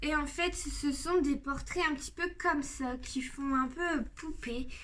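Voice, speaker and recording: A woman with a high voice speaks at a very slow pace. Audible room echo surrounds her words. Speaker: YouTuber showing coloring book collection. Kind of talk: casual video presentation. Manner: hesitant, many fillers.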